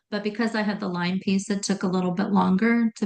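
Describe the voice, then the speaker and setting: A woman speaks at a medium pitch, somewhat breathy. The background is quiet. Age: 60s. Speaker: functional health coach. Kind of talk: interview testimony. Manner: hesitant, many fillers.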